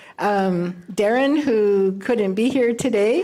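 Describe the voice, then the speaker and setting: A woman talks with a fairly high pitch and ordinary pitch variation. Audible room echo and noticeable background noise surround her voice. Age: 70s. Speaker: blind guide dog graduate. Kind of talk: graduation speech. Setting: ceremony with live audience. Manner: halting, many fillers.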